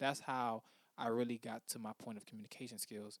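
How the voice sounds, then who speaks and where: A man's voice is captured dry and close, with no echo. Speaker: podcast host. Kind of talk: motivational monologue. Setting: podcast mic. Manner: measured, clearer than his rushed early episodes.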